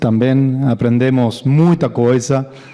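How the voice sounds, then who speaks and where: Over noticeable background noise, a man speaks at a medium pitch with an Argentine accent. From Argentina. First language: Spanish (speaking Portuguese). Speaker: corporate IT executive. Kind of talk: conference talk.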